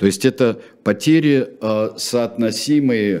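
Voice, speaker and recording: Speaking at a fairly slow pace, a man uses ordinary pitch variation and has a dark, mellow tone. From Russia. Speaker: radio host and history presenter. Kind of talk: history talk show. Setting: studio. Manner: hesitant with filler sounds.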